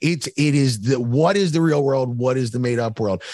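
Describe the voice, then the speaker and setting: A man with an American accent talks at a fairly quick pace in an unremarkable speaking voice, medium in pitch with lively intonation. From Philadelphia. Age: 40s. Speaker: podcast guest. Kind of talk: casual chat.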